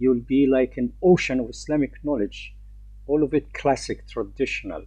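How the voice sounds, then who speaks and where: A man with an Arabic accent at a moderate pace. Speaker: Islamic teacher. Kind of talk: lecture. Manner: halting.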